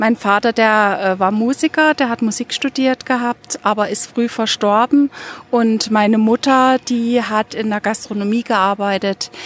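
A normal speaking voice moves at a fairly slow pace with fairly even intonation. The sound is dry and close, with no echo. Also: woman, fairly high pitch for a woman. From Dresden, eastern Germany. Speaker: university administrator and volunteer mentor. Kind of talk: group conversation. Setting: outdoors in a university courtyard.

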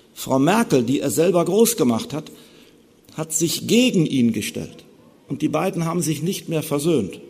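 A man's fairly high voice with vocal fry, very wide pitch swings and a fairly slow pace. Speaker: theologian giving a lecture on Luther. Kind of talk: lecture. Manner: formal.

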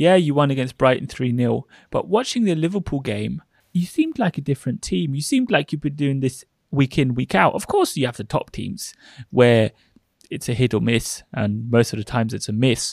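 A plain, everyday voice runs at a fairly quick pace with lively intonation. The recording is very clean, with a silent background. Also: man, fairly high pitch for a man. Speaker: podcast co-host interviewer. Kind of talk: casual interview conversation.

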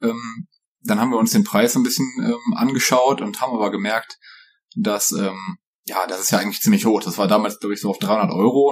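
At a very fast pace, a man talks with lively intonation. His pitch is medium. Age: 20s. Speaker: software consultant. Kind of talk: casual chat.

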